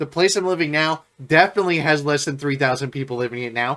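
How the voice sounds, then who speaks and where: In a very clean recording with a silent background, a man speaks at a very fast pace, his fairly high voice carrying a bright, sharp tone. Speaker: music reaction youtuber. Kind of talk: casual vlog talk.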